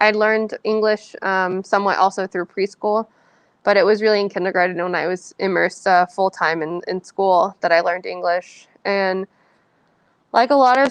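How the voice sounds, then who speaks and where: A woman speaks at a moderate pace in a Californian accent, her medium pitch carrying fairly even intonation. The sound is dry and close with no echo over a quiet background. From San Francisco Bay Area, California. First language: Spanish. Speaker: author. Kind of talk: Q&A at a book reading. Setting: library event with audience.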